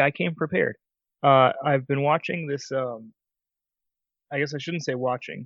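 This quiet man has a fairly high pitch and ordinary pitch variation. He keeps a moderate pace broken by long, frequent pauses. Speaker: podcast co-host. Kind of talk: casual chat. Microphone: mic very close to mouth.

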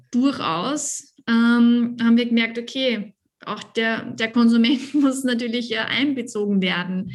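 Fairly even intonation runs through delivery at a very slow pace. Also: woman. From Lower Austria. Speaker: winemaker. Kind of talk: casual interview.

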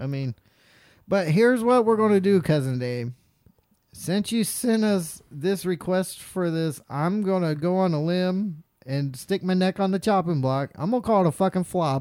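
On a very clean recording with a silent background, a man with a Southern US accent speaks at a moderate pace and a high pitch with lively intonation. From North Carolina. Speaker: podcast host. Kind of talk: casual chat. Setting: studio.

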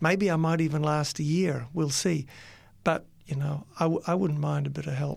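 A man talks at a moderate pace in a fairly high pitch, his voice somewhat breathy and his intonation fairly even. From New Zealand. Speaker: university dean and teacher. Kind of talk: casual interview, testimony. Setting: studio.

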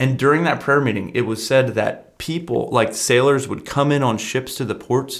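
In a plain, everyday voice, a man speaks at a moderate pace and medium pitch with ordinary pitch variation and hardly any pauses, on a very clean recording with a silent background. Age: 20s. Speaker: youth pastor. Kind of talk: casual chat. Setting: studio.

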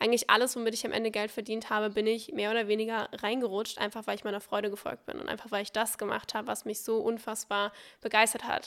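A woman's fairly high voice, very fast and monotone, with flat intonation. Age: 20s. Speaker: social media entrepreneur. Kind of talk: casual chat. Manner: charming.

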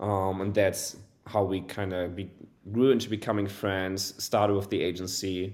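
With a German accent, a man speaks in a very deep, low voice with monotone, flat intonation. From Germany. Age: 20s. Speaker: e-commerce agency owner. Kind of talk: casual interview.

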